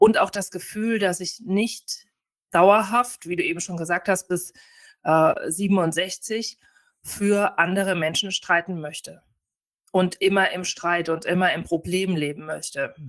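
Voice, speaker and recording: Over a very clean recording with a silent background, a woman speaks at a very slow pace. Her medium-pitched voice has fairly even intonation. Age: 40s. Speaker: family lawyer retraining as osteopath. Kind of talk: interview conversation.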